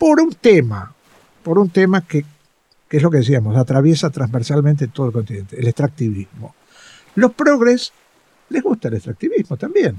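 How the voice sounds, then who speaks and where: A man with a fairly high, somewhat breathy voice swings very widely in pitch. He leaves long, frequent pauses, and the sound is dry and close with no echo. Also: moderate pace. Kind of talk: interview.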